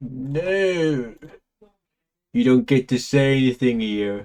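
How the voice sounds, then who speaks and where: In a deadpan tone, a man speaks at a medium pitch. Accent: British. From Britain. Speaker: gaming streamer. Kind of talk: live gameplay stream commentary.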